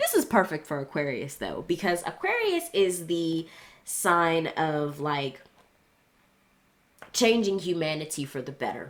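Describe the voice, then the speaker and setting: In a put-on character voice, a woman speaks raspy and at a fairly low pitch, keeping a moderate pace broken by long, frequent pauses. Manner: hushed, enthusiastic.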